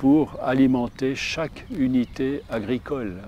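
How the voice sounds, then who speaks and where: This voice has a medium pitch. It belongs to a man. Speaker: forest engineer and wood science professor. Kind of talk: interview answer.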